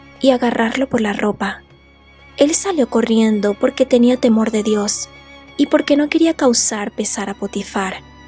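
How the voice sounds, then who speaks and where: Soft-spoken and fairly high in pitch, a woman talks at a moderate pace with ordinary pitch variation while music plays in the background. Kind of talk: sleep story. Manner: soft-spoken, relaxing.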